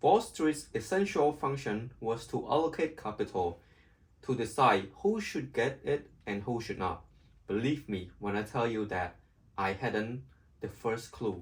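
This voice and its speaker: A man with a somewhat breathy voice talks at a fairly slow pace with lively intonation. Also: medium pitch for a man. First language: not English. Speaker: amateur audiobook reader. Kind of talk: reading aloud. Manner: halting.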